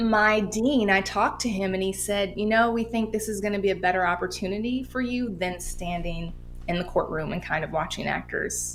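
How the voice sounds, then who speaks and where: A woman with an American accent, medium pitch, ordinary pitch variation and a moderate pace, over background music. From Oakland, California. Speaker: actor. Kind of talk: interview answer.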